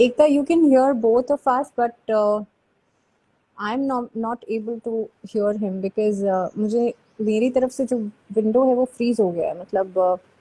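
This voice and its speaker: A woman speaks at a fairly slow pace with ordinary pitch variation. Her voice is fairly high-pitched, with a dark, mellow tone. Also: dry, close sound with no echo. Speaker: YouTube host. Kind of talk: live stream interview. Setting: live video call. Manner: code-switching Hindi and English.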